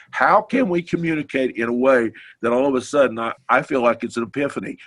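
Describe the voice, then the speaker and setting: The man's pitch is medium for a man. He talks at a fairly quick pace with lively intonation. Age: 60s. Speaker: participant in business group discussion, former ad agency owner. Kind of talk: group discussion. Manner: halting, with many repetitions.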